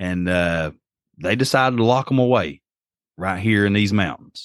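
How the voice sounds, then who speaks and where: A man with an Appalachian accent, fairly low pitch and ordinary pitch variation at a moderate pace, in a very clean recording with a silent background. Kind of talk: casual chat, storytelling.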